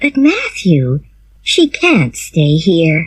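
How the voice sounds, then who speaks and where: A woman performs a put-on character voice at a fairly low pitch. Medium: read story. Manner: brisk, firm.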